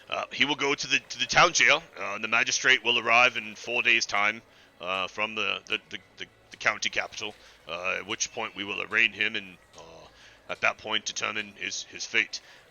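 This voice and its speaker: A man's raspy, put-on character voice at a medium pitch and a moderate pace. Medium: actual play. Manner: hesitant, halting, officious.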